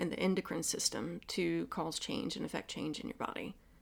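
The recording is very clean, with a silent background. A woman talks at a moderate pace in a Southern US accent. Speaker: acupuncturist. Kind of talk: casual interview chat.

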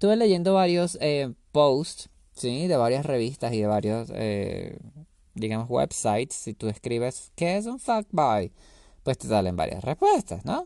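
Over a quiet background, a man's dark, mellow voice swings very widely in pitch, dry and close with no echo. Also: fairly slow pace. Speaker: solo podcaster. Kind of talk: casual monologue. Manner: animated.

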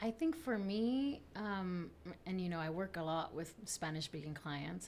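A woman speaks at a fairly slow pace in a fairly low, somewhat breathy voice with ordinary pitch variation. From South Texas (Rio Grande Valley), born in Tamaulipas, Mexico. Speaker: attorney. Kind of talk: interview.

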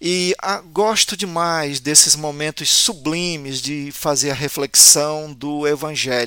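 A man with a fairly high pitch and a bright, sharp tone speaks at a very slow pace, recorded dry and close with no echo. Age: 50s. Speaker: pastor. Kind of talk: personal introduction.

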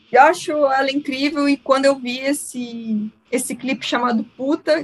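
A woman talks with ordinary pitch variation while music plays in the background. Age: 30s. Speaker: podcast host and musician. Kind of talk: casual chat.

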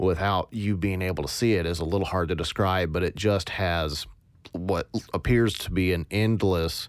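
A man speaks with a very deep, low voice and fairly even intonation. The recording is very clean, the background silent. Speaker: podcast host, sound designer. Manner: monotone.

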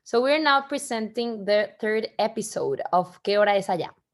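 The speaker has a Spanish accent and a moderate pace, with ordinary pitch variation. The recording is very clean, with a silent background. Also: woman. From Mexico. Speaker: podcast host. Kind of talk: casual chat. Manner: halting.

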